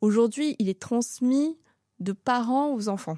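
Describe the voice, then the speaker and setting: With lively intonation, a woman speaks at a fairly slow pace in a dry, close sound with no echo, on a very clean recording with a silent background. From France, Seine-et-Marne (Paris region), Sri Lankan family. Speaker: restaurant entrepreneur. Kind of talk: interview testimony. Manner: hesitant, many fillers.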